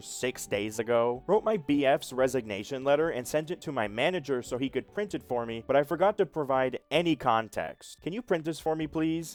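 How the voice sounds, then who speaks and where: Here is a plain, everyday voice from a man at medium pitch. He speaks at a fairly quick pace with lively intonation. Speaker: voice-over artist. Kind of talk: comedic social media post reading.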